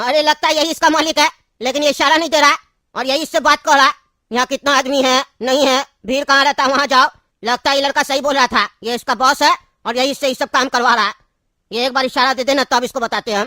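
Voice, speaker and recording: Very fast and high-pitched, a female-sounding cartoonish character voice rattles along. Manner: brusque, commanding.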